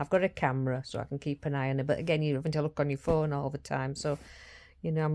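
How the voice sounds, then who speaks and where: A woman speaks at a very fast pace with a Yorkshire accent, her very deep, low voice dark and mellow with fairly even intonation. The recording is very clean, with a silent background. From Yorkshire, northern England. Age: 60s. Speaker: vlogger and carer for her mother. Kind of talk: casual vlog monologue. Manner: halting, with frequent restarts.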